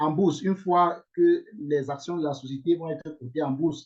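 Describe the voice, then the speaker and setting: A man talks with an English accent. His pitch sits fairly high. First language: English (speaking French). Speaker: investment scheme promoter. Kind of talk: online investment presentation. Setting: video call. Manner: hesitant, many fillers.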